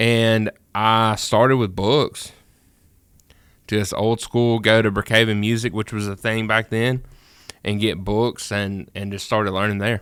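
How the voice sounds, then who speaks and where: Over a very clean, silent background, a man talks at a fairly low pitch in a monotone, flat intonation, his fairly slow pace marked by long, frequent pauses. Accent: Mississippi. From US South, rural Mississippi. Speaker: music producer. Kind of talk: casual chat. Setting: studio.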